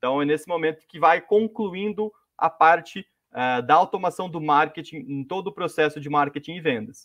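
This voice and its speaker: Moderate pacing and ordinary pitch variation from a man, the background quiet. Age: 20s. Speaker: marketing specialist. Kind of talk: webinar presentation. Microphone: video call.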